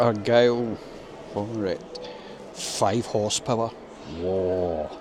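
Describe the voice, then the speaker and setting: A man with a Scottish accent, fairly low pitch and ordinary pitch variation, speaking at a very slow pace over noticeable background noise. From Scotland, Glasgow. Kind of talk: casual talk to camera.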